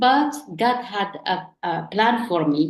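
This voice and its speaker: A woman speaks with lively intonation. She has an Arabic accent. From Morocco. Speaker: online entrepreneur. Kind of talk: interview. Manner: halting.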